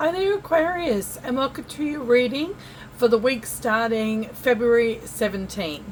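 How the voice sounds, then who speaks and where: A woman speaks with a high pitch and lively intonation. Noticeable background noise sits behind her. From Australia. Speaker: tarot reader. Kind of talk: tarot reading monologue. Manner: casual, chatty.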